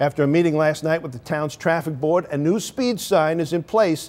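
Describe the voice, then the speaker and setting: A man speaks in a normal speaking voice, pitched fairly high for a man, with ordinary pitch variation. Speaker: television news anchor. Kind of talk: TV news anchor delivery.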